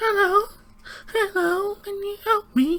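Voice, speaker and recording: An extremely high-pitched, put-on character voice. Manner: innocent, sweet.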